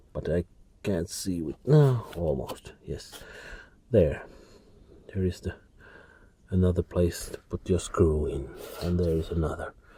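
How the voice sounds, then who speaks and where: With a Finnish accent, a man speaks at a very deep, low pitch and fairly slow pace, somewhat breathy and dark, mellow in tone, with ordinary pitch variation and long, frequent pauses. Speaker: DIY car repair hobbyist. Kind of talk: tutorial. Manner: halting.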